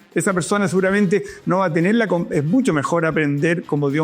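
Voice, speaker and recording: Music plays in the background as a man with a Chilean accent talks at a very fast pace in a high pitch. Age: 60s. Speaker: professor. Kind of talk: interview conversation. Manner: halting with frequent repetitions.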